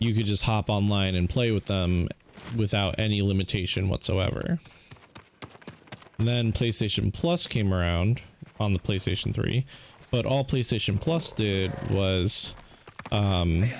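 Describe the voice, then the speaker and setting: With long, frequent pauses, a man speaks at a fairly slow pace in a fairly low pitch, keeping very even loudness and ordinary pitch variation over noticeable background noise. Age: 30s. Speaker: gaming streamer. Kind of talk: casual chat.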